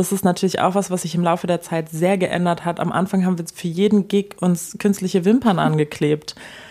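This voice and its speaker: A woman's dark, mellow tone at a medium pitch. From Germany, French-speaking parents. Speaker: singer in a jazz-pop duo. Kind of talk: casual interview chat. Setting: at the host's home.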